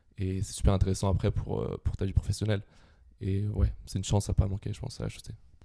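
On a very clean recording with a silent background, a man talks very fast at a fairly low pitch, with a dark, mellow tone, vocal fry and ordinary pitch variation. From Brittany, France (Quimper). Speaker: student, grocery co-founder. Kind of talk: casual interview.

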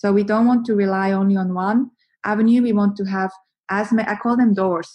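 Fairly quick and somewhat breathy, a woman with a Swiss accent speaks at a medium pitch in a dark, mellow tone with monotone, flat intonation. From Switzerland. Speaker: marketing agency co-founder. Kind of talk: interview, explaining marketing advice.

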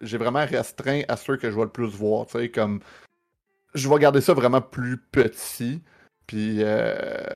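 A man speaks fairly slowly as music plays in the background. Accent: Quebec. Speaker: streamer. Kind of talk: casual chat.

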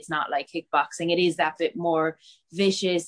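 With a Cork accent, a woman speaks at a fairly low pitch. Her intonation stays fairly even. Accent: Cork Irish. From West Cork, Ireland (Bantry). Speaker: MMA fighter. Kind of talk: interview.

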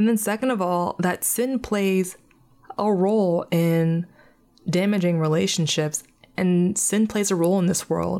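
Speaking at a fairly slow pace, a woman uses a medium pitch and a dark, mellow tone with fairly even intonation. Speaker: podcast host. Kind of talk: faith-based personal monologue. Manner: monotone.

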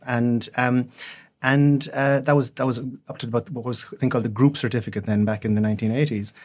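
A man's medium-pitched voice at a very fast pace, with ordinary pitch variation, in a very clean recording with a silent background. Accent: Cork. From Ireland, West Cork. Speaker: solicitor. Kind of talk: interview. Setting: studio. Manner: halting, many repetitions.

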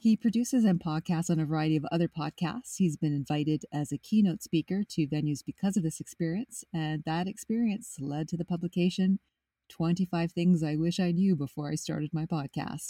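A woman's fairly low, somewhat breathy voice at a fairly quick pace, with ordinary pitch variation and hardly any pauses. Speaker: podcast host and writer. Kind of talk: interview conversation.

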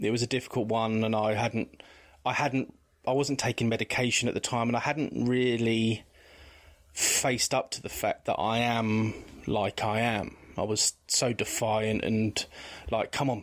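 A man with an English accent talks at a moderate pace. His intonation stays fairly even and his loudness very even. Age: 40s. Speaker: guest sharing mental health experience. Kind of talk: testimony. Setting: video call.

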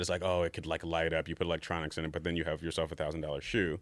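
A man with a New York accent talks at a very fast pace. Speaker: sneaker designer. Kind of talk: casual interview.

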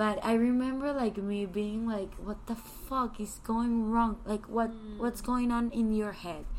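A woman with a Spanish accent speaks at a fairly slow pace in a fairly high pitch, her intonation fairly even. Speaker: podcast host. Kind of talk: scripted intro; casual chat. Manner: relaxing.

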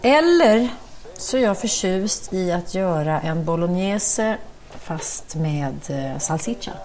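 Speaking very slowly with lively intonation, a woman with a fairly low voice is heard amid audible room echo and noticeable background noise. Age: middle-aged. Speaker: cookbook author and TV chef. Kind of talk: casual chat while cooking.

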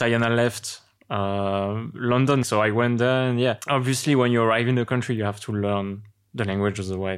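In a French accent, a man with a fairly low pitch speaks at a moderate pace in a flat monotone, recorded very cleanly against a silent background. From France. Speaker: interview guest, one half of a couple. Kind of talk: casual conversational interview.

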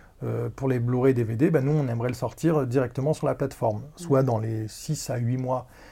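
Somewhat breathy and dark, mellow in tone, a man speaks at a moderate pace with fairly even intonation and hardly any pauses. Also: medium pitch for a man. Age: 30s. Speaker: podcast guest. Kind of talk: casual chat.

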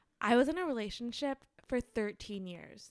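Speaking at a fairly slow pace, a woman uses lively intonation in an ordinary speaking voice. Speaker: podcast host. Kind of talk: casual banter podcast chat. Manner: playful, joking banter.

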